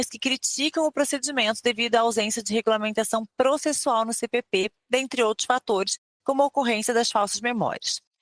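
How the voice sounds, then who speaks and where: At a fairly quick pace, a woman with a Rio de Janeiro accent speaks in a fairly high voice, with a dry, close sound and no echo. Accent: Rio de Janeiro (fluminense). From Rio de Janeiro state, Brazil. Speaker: podcast host. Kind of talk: scripted introduction; interview.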